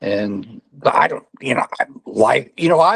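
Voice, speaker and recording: At a fairly slow pace, a man with an American accent talks with very wide pitch swings. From Missouri. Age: 60s. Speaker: state legislator. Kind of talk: interview. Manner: halting, many fillers and restarts.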